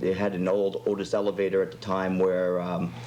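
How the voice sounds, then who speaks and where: A man speaks against noticeable background noise. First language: French. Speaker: chef. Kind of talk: casual interview chat. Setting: TV studio, live talk show.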